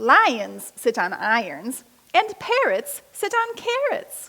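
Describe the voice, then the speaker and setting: A woman speaks very slowly in a put-on character voice pitched extremely high. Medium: read story. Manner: matter-of-fact.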